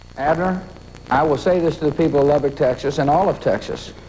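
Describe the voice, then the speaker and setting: Intonation stays fairly even as the words rush out very fast. Background noise is noticeable throughout. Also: man. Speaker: state governor. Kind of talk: interview answer.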